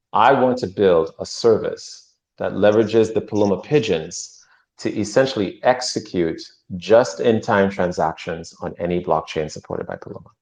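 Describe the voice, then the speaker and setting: Loudness swings widely while pitch varies in an ordinary way, all over a quiet background. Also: man, fairly low pitch for a man. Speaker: crypto project presenter. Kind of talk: livestream show update. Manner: fast; animated.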